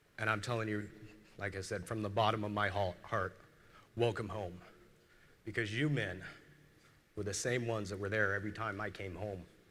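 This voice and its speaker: With an American accent, a man speaks in a bright, sharp tone at a fairly low pitch, his intonation monotone and flat, with long, frequent pauses. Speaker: military veteran speaker. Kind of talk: keynote speech. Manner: halting.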